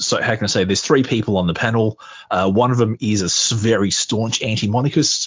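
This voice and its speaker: Speaking at a fairly quick pace with an Australian accent, a man uses a medium pitch and ordinary pitch variation. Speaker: podcaster. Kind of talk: casual chat.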